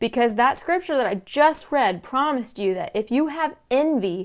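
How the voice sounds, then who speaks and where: With lively intonation and a moderate pace, a woman speaks over a quiet background. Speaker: podcast host. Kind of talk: inspirational talk. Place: home room. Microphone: lapel.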